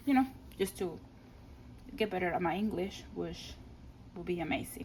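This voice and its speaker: A woman with a Spanish accent and a medium pitch. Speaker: scrapbooking crafter. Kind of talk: craft album flip-through. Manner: casual, hesitant with fillers and restarts.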